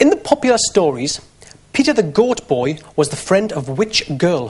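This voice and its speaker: Speaking at a moderate pace with a strong Geordie accent, a man uses a high pitch and very wide pitch swings. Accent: thick Geordie. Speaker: game show host. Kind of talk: TV game show hosting.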